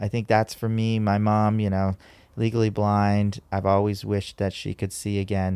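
A man with an American accent speaks in a fairly low voice with a dark, mellow tone and flat, monotone intonation, the sound dry and close with no echo on a very clean recording with a silent background. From San Diego, California. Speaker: podcast host, nonprofit professional. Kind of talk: casual interview.

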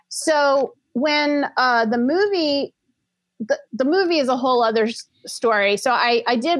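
A woman with a high pitch, lively intonation and a fairly slow pace. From New Orleans, Louisiana. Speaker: writer and producer. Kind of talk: casual interview.

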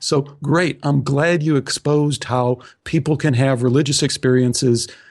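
Over a quiet background, a man with a Midwestern accent speaks slowly-ish at a fairly high pitch, his intonation fairly even. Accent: American Midwest. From US Midwest, Chicago. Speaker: podcast host and author. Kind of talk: interview conversation.

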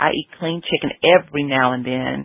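With ordinary pitch variation, a woman talks in an Alabama accent. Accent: Southern US (Alabama). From Alabama, US South. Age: 50s. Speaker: holistic health counselor. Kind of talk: interview. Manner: warm, polite.

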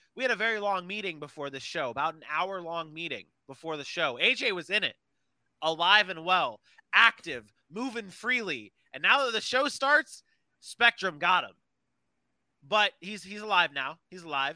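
A man with a high pitch projects his voice in a bright, sharp, animated tone. The intonation is lively, and the sound is dry and close with no echo. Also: moderate pace. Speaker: podcast host. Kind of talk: casual sports banter. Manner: animated, joking.

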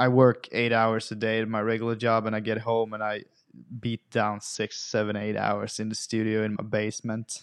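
A man with a Swedish accent speaks at a moderate pace in a fairly low pitch, his intonation monotone and flat. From Sweden. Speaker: metal vocalist. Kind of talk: casual chat.

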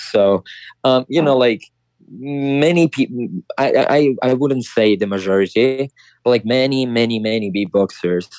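A man with an Italian accent at medium pitch and a moderate pace, ordinary pitch variation, very even loudness, and a dry, close sound with no echo. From Italy. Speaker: champion beatboxer. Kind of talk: interview. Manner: halting.

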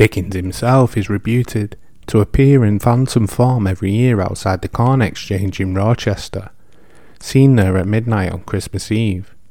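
A man talks at a moderate pace with a fairly low pitch. His tone is dark and mellow, with ordinary pitch variation. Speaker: podcast host. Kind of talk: scripted narration of history and folklore; ghost story telling. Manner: casual, chatty.

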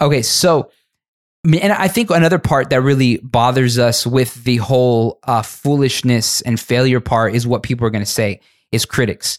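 A man speaks at a moderate pace and medium pitch in a normal speaking voice. The recording is very clean and dry, with a close sound, no echo and a silent background. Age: 30s. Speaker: pastor and podcast host. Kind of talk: casual chat.

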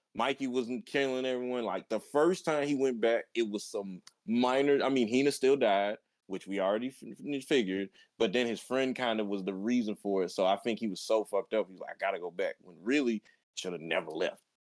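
Heard with a dry, close sound and no echo, a man with an ordinary speaking voice talks at a fairly quick pace in a medium pitch, his pitch varying in an ordinary way while his loudness swings a lot. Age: 20s. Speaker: anime podcast co-host. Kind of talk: casual chat.

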